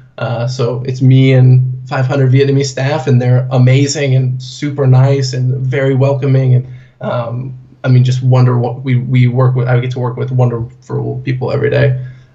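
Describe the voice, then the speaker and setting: Amid noticeable background noise and audible room echo, a man with an American accent speaks at a moderate pace in a monotone, flat intonation. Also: medium pitch for a man. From US Pacific Northwest, Portland. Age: 20s. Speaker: corporate trainer and blogger. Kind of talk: interview. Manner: casual.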